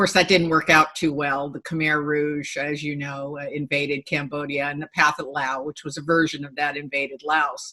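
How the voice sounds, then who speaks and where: A woman with an American accent talks at a moderate pace with hardly any pauses, her pitch very deep and low. Her intonation is monotone and flat, while her loudness swings widely. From Japan. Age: 60s. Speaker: sociobiologist and futurist. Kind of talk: interview. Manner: hesitant fillers.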